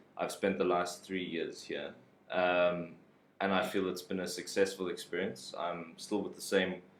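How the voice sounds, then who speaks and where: Audible room echo around a fairly slow delivery in a monotone, flat intonation. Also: man, very deep, low pitch for a man. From South Africa. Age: young. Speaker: English teacher. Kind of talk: casual interview. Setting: live stream.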